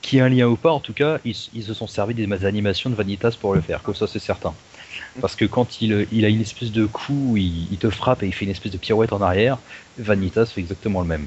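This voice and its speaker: Ordinary pitch variation from a man talking at a very fast pace. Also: fairly low pitch for a man. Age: 20s. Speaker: voice acting hobbyist. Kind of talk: casual chat.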